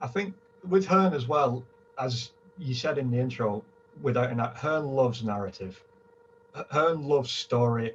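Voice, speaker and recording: Lively intonation from a man with a strong northern English accent, medium pitch and a moderate pace broken by long, frequent pauses. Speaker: boxing fan, panelist. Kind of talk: casual panel chat.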